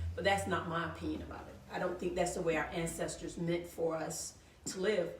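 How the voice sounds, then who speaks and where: There is audible room echo and noticeable background noise as a woman with an American accent speaks at a fairly low pitch and a moderate pace. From US South, Georgia (Thomasville). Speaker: author, photographer and historian. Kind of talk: interview on live show.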